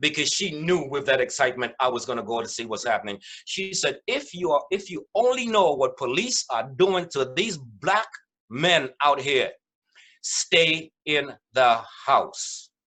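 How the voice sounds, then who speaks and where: Against a quiet background, a man with a West Indian accent talks at a fairly slow pace in a fairly high pitch, with lively intonation and an animated, bright, sharp tone. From West Indies. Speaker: mediator. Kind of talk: webinar presentation.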